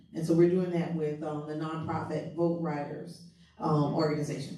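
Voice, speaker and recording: A woman with a very deep, low pitch and a Southern US accent, monotone, flat intonation, a moderate pace, and noticeable background noise. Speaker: nonprofit voting organizer. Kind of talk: announcement at a public forum.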